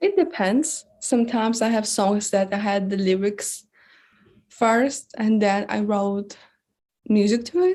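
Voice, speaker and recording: A woman with a non-native accent talks at a fairly slow pace in a fairly high, somewhat breathy voice with a dark, mellow tone, ordinary pitch variation and very even loudness, on a very clean recording with a silent background. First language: not English. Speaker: singer-songwriter. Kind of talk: interview. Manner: halting, many fillers.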